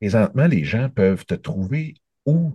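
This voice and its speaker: With a Quebec accent, a man speaks at a fairly slow pace in a dark, mellow tone and lively intonation, the sound dry and close with no echo against a quiet background. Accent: Québécois French. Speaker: interviewer. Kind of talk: interview.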